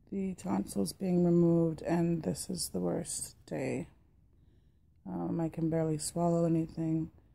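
A strained woman's voice with a dark, mellow tone and lively intonation. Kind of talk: casual vlog chat. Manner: slow, strained voice after tonsil surgery. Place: home room. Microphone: phone near.

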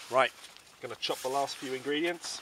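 Over faint background noise, a man with a medium-pitched voice and a bright, sharp tone talks at a moderate pace. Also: ordinary pitch variation.

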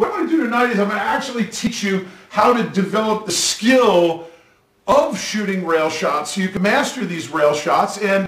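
With audible room echo and light background noise, a man is heard. He speaks at a moderate pace. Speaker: pool instructor. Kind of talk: tutorial. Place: home room.

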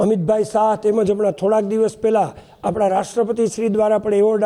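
Noticeable background noise fills the recording. A man talks with a high-pitched voice. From Porbandar area, Gujarat. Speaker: village resident, event organizer. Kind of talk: media interview announcement.

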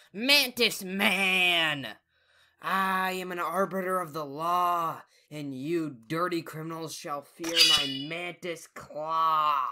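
The recording is very clean, with a silent background. A man speaks at a very slow pace in a high pitch. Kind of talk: comic overacting. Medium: comedy sketch. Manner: pompous, theatrical hero proclamation.

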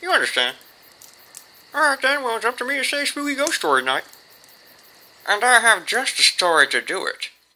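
In a put-on character voice, a female-sounding speaker with fairly high pitch moves at a fairly quick pace, broken by long, frequent pauses. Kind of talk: comedy sketch dialogue. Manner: gruff, insulting.

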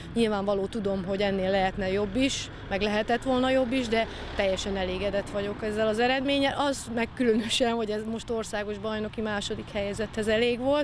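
A woman's fairly high voice at a fairly quick pace, fairly even in intonation, dry with no echo, over noticeable background noise. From Hungary, Gyula; Hungary. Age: 40s. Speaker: ultramarathon runner. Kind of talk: interview. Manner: halting. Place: street. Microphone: handheld.

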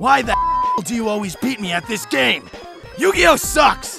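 A man performs a cartoonish character voice at an extremely high pitch, with a bright, sharp tone, vocal fry, a slightly husky edge and big pitch swings. He goes at a fairly slow pace while faint music plays in the background.

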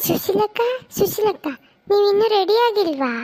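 In a squeaky, cartoonish character voice with extremely high pitch, a woman speaks at a fairly slow pace with ordinary pitch variation.

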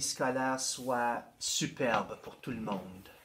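This man speaks very slowly. His pace stays unhurried throughout. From northeastern Ontario. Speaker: school board education administrator. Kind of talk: interview.

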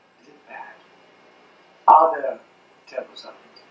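A man's voice comes with audible room echo. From Ireland. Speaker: former priest. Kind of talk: public lecture. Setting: live talk, poor-quality audio. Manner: fast. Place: hall. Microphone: pa.

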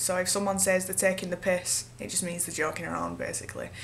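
A woman with a Manchester accent, light background noise behind her. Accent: Northern English (Manchester area). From Northern England. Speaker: vlogger and singer-songwriter. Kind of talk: casual talk to camera. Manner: casual, sarcastic. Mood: playful, giggly. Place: home room. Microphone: webcam.

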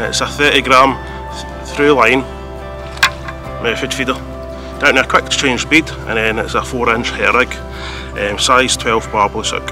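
Over clear background music, a man speaks at a moderate pace with long, frequent pauses, the sound dry and free of echo. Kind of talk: tutorial. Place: waterside. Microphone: phone near.

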